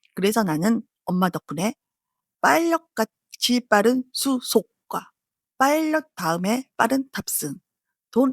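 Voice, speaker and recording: Very wide pitch swings at a very slow pace. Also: woman. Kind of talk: travel vlog narration. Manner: casual.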